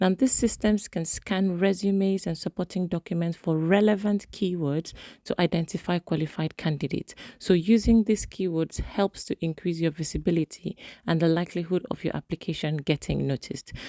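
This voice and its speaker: A woman speaks at a fairly quick pace with a fairly low pitch, a dark, mellow tone and ordinary pitch variation. The recording is very clean with a silent background and a dry, close sound with no echo. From Nigeria. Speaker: sonographer and career advice youtuber. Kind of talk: tutorial.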